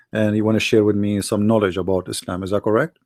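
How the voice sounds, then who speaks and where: A man speaks with an Arabic accent. His pitch is fairly low. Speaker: debate show host. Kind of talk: heated debate. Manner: interrupting, insistent.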